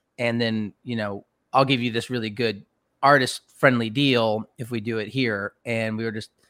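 This man has an unremarkable speaking voice with an American accent, pitched in the medium range and with fairly even intonation. The sound is dry and close, with no echo. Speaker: rock band frontman. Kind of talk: casual interview chat. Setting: video call from his garage.

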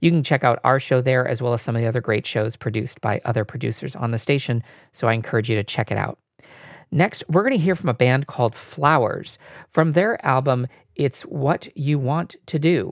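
A man's plain, everyday voice, medium in pitch with ordinary pitch variation and a fairly quick pace, in a dry, close sound with no echo on a very clean recording with a silent background. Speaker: radio host. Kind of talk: radio announcer patter between songs, back-announcing tracks and promoting the show. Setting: radio station broadcast. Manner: smooth, even, brisk announcer delivery.

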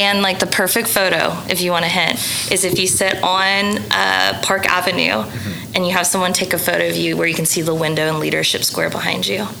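In an American accent, a woman talks at a fairly quick pace with hardly any pauses and very even loudness. The room echo is audible, and there is noticeable background noise. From Oklahoma City, US. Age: 30s. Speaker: food blogger. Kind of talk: casual chat.

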